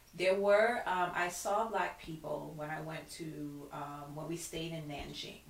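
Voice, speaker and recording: In a Brooklyn accent, a woman speaks fairly slowly with hardly any pauses, her very deep, low voice showing ordinary pitch variation and big swings in loudness amid audible room echo. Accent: New York (Brooklyn). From Brooklyn, New York (Flatbush). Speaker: wellness coach. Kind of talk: casual interview. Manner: halting, many fillers.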